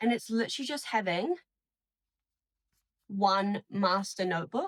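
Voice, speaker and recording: Somewhat breathy and medium in pitch, a woman speaks with ordinary pitch variation in a dry, close sound with no echo. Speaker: student vlogger. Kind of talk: casual vlog talk. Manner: casual, filler-heavy.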